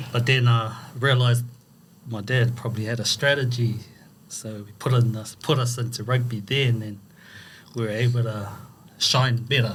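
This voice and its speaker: A man speaks at a moderate pace with long, frequent pauses, his somewhat breathy, medium-pitched voice held in a flat monotone against audible room echo. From New Zealand, South Auckland (Otara). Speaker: rugby charity founder. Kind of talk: podcast interview.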